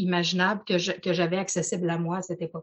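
Somewhat breathy, a woman speaks with a Quebec accent. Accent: Québécois French. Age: 40s. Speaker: personal development coach. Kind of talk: casual chat.

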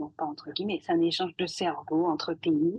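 A woman speaks at a fairly slow pace, her pitch fairly low. It is an ordinary speaking voice. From Guadeloupe. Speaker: scientist. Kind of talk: podcast interview.

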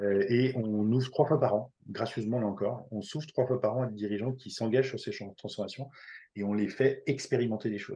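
Over a quiet background, a man with a medium pitch talks at a fairly quick pace, his tone dark and mellow and somewhat breathy. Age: 50s. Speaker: entrepreneur and company leader. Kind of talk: casual interview. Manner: hesitant, with repeated words.

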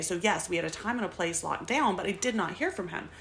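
With lively intonation, a woman in a plain, everyday voice speaks at a fairly quick pace. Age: 30s. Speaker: podcast host. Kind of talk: casual chat. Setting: home recording, audio only.

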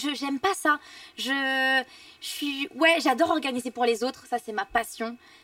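In a dry, close sound with no echo, a woman with a high pitch and a bright, sharp tone projects a raised voice at a fairly slow pace with ordinary pitch variation. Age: 20s. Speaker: dancer and TV personality. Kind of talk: casual interview. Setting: restaurant cellar, recorded for livestream.

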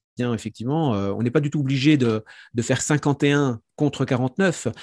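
On a very clean recording with a silent background and a dry, close sound free of echo, a man speaks fairly slowly with lively intonation. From Franche-Comté, France. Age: 40s. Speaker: professional psychic and speaker. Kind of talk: interview conversation. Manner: hesitant, many fillers.

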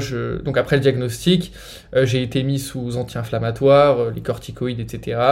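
Fairly slow, somewhat breathy speech from a man at medium pitch. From France. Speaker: nutrition influencer with multiple sclerosis. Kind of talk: interview testimony.

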